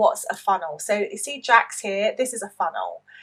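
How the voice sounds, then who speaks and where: Speaking at a moderate pace, a woman with a British accent shows ordinary pitch variation. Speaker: online English teacher and business coach. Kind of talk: opinion commentary with screen-share tutorial. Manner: spontaneous, conversational.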